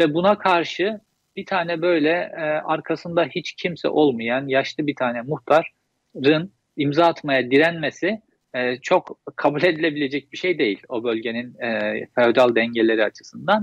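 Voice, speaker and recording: A man's fairly high, fairly quick voice with ordinary pitch variation, an ordinary speaking voice, in a dry sound with no echo against a quiet background. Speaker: journalist guest. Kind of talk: interview. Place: home room. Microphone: video call.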